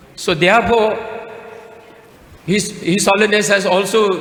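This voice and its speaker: With audible room echo and noticeable background noise, a man speaks at a moderate pace in a high pitch. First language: Tibetan. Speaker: Buddhist speaker. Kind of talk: speech at conference. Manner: halting.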